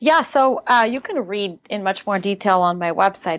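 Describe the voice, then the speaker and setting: A woman with a slight Russian accent speaks at a medium pitch with ordinary pitch variation against a quiet background. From Siberia, Russia, moved to US at twelve. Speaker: life coach. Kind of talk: interview.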